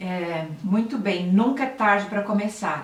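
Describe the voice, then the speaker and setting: Amid noticeable background noise and audible room echo, a woman speaks with a São Paulo accent. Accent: Brazilian Portuguese, paulistano. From Brazil, São Paulo city. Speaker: health and nutrition channel host. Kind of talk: live stream talk to viewers, reading comments. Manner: conversational, with hesitations and self-corrections. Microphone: laptop camera, weak audio quality.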